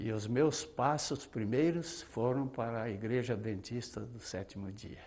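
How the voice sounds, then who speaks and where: With a dark, mellow tone, a man speaks fairly slowly. Lively intonation runs through his delivery. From southern Brazil, Paraná. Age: 70s. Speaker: retired pastor and singer. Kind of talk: testimony.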